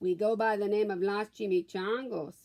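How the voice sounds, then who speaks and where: A woman's put-on character voice, growling, at medium pitch with fairly even intonation and a moderate pace. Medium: read story.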